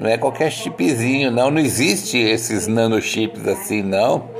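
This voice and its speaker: A man's animated, medium-pitched voice with a Brazilian accent, against noticeable background noise. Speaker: podcaster. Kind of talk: casual monologue. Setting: at home.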